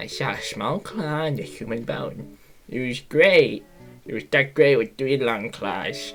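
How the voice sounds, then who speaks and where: A put-on character voice at a low-to-middle pitch and fairly slow pace, with faint music in the background. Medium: read story. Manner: eager, excitable.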